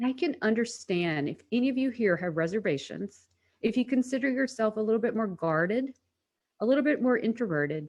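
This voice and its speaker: An unremarkable speaking voice with an American accent moves at a fairly quick pace with lively intonation. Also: woman, fairly high pitch for a woman. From United States. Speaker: personal branding strategist. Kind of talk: webinar presentation.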